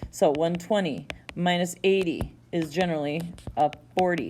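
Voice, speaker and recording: This woman's voice sits at a fairly low pitch. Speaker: teacher. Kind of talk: lecture. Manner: casual, self-correcting.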